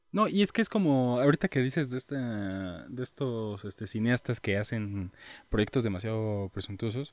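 A man with a Mexican accent, in a dry, close sound with no echo and a very clean recording over a silent background. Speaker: podcast co-host. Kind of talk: casual chat.

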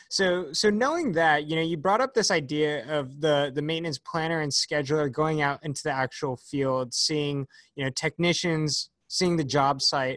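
An ordinary speaking voice at a moderate pace, recorded with a dry, close sound with no echo against a quiet background. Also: man, fairly high pitch for a man, ordinary pitch variation. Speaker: podcast host and company founder. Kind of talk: interview.

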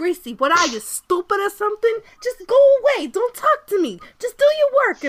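A put-on character voice, female-sounding and at an extremely high pitch for a woman, moves at a moderate pace. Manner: scolding, dismissive.

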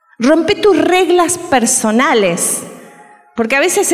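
A woman at a very slow pace with very wide pitch swings, audible room echo and noticeable background noise. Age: 60s. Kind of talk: sermon.

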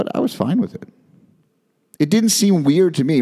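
This man has an unremarkable speaking voice and lively intonation. He talks at a fairly quick pace. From US, moved around Northeast, Midwest and Texas. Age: 40s. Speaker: podcast host. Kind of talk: personal monologue.

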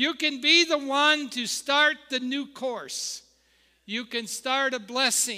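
A man talks in a raised, projected voice with a bright, sharp tone. His pace is fairly slow. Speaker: founding pastor. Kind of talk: warm, exhortational Sunday sermon on generational blessing. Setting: church with live congregation. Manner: call-and-response preaching, inviting amens from congregation; hesitant, stumbling with filler uhs and repeated words.

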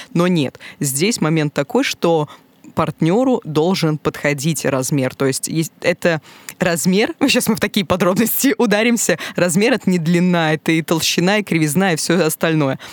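A woman speaks in a normal speaking voice, fairly low in pitch, at a moderate pace with lively intonation and very even loudness, in a dry, close sound with no echo. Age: 20s. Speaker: podcast guest. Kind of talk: casual chat. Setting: studio.

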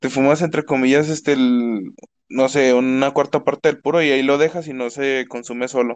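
An unremarkable speaking voice with fairly even intonation over a quiet background. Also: man. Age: 20s. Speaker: university student and streamer. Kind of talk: casual chat. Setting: live online stream.

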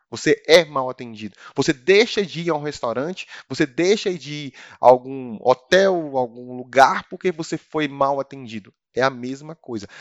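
This man has an ordinary speaking voice, fairly high in pitch, with ordinary pitch variation, a moderate pace and big swings in loudness. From Brazil, Brasília. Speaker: customer service manager. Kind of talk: interview.

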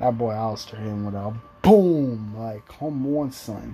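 A man's speech proceeds at a moderate pace, accompanied by music in the background. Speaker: wrestling reviewer. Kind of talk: casual review monologue. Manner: animated.

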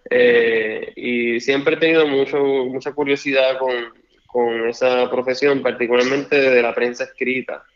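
A man's medium-pitched voice at a fairly slow pace, flat and monotone in intonation. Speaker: lawyer and political candidate. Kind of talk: interview. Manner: halting.

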